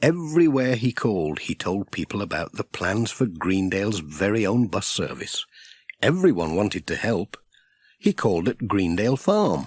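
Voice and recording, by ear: This man's voice has a slightly husky edge and fairly low pitch, with big pitch swings. The sound is dry and close, with no echo. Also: very clean recording, silent background.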